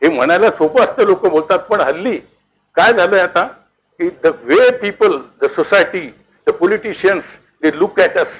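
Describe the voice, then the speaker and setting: A man at a moderate pace. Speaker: retired professor, educationist. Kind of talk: lecture. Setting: hall with audience. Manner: soft-spoken.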